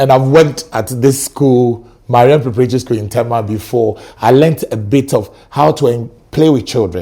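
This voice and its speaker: The speaker is a man with a Ghanaian accent. His tone is animated, with ordinary pitch variation. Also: medium pitch for a man, moderate pace. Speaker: teacher. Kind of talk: casual chat. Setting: studio.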